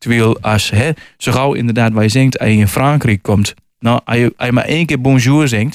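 The man has an unremarkable speaking voice at a medium pitch, a moderate pace and ordinary pitch variation. The recording is very clean and dry, with a silent background, no echo and very even loudness. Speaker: author. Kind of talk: radio interview.

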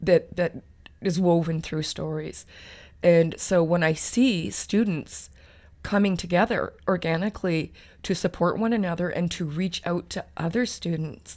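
A woman with a Canadian accent has a normal speaking voice and a fairly low pitch. The recording is very clean, with a silent background. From Alberta, Canada. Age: 50s. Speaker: PhD student in sociology. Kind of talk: interview.

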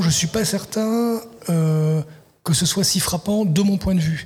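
Noticeable background noise sits behind a man whose pitch variation is ordinary. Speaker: literary translator and writer. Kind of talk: radio interview. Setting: live broadcast at a festival venue. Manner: halting, many repetitions.

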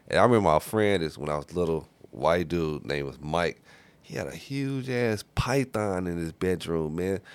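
A man talks with lively intonation. His pitch sits very deep and low. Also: moderate pace. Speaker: podcast host. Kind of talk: casual chat. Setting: studio. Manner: quiet.

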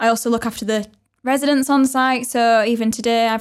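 Very fast and monotone, a woman with a fairly high pitch and a Yorkshire accent speaks with flat intonation in a very clean recording with a silent background. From Wakefield, West Yorkshire. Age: 20s. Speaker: head of marketing and community at creative hub. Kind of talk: casual chat.

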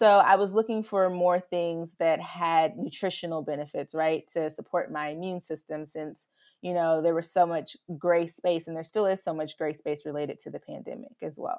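A woman's fairly low voice with a slight Southern US accent and big swings in loudness. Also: ordinary pitch variation. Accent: Southern US drawl, slight. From US South. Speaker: consumer interviewee, philanthropy professional. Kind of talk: interview.

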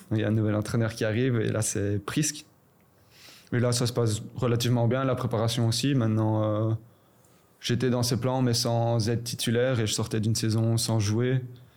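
With a medium pitch and very even loudness, a man talks at a moderate pace in a monotone, flat delivery. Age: 20s. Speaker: professional footballer. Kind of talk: casual chat.

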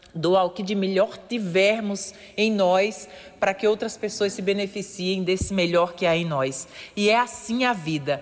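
Fairly slow speech is accompanied by noticeable background noise. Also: woman, medium pitch for a woman, ordinary pitch variation. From Paraíba, Brazil (rural Areia). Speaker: radio columnist, former dentist. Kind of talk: motivational radio talk.

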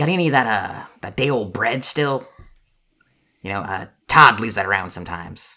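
Putting on a squeaky character voice, a man speaks at medium pitch. His pace is moderate. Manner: wheedling, chorus of voices.

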